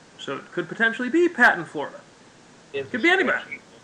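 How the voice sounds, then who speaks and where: A man speaks in an animated tone. Noticeable background noise sits behind him. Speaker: game master of an online role-play game. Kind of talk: game session narration and explanation. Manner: fast, animated.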